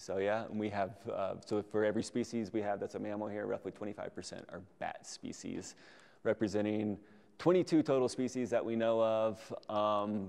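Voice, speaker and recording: This man speaks at a fairly low pitch with ordinary pitch variation. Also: moderate pace. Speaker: presenter. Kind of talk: lecture. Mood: casual, enthusiastic. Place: hall.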